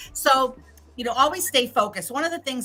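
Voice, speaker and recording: Her tone is animated. Noticeable background noise sits behind this woman's voice. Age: 60s. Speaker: business etiquette and LinkedIn consultant. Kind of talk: interview on livestream event.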